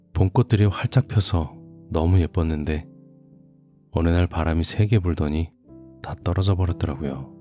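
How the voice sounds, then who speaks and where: A very deep man's voice in a calm tone at a moderate pace, with ordinary pitch variation and long, frequent pauses, dry and close with no echo, music in the background. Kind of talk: casual spoken intro to listeners. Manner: soft, calm.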